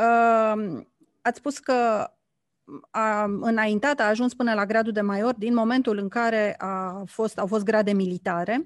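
Against a quiet background, a woman speaks at a fairly slow pace with a fairly high pitch, ordinary pitch variation and long, frequent pauses. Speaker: radio host. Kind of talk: radio interview. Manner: formal.

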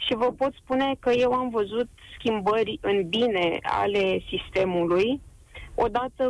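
This woman has an unremarkable speaking voice. Her pitch is fairly high, with ordinary pitch variation. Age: 30s. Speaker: medical resident doctor. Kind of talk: radio call-in.

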